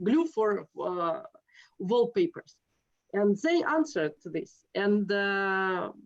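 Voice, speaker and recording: With a Russian accent, a woman speaks at a very slow pace and medium pitch, with very wide pitch swings and long, frequent pauses. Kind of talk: interview conversation. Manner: halting, many hesitations.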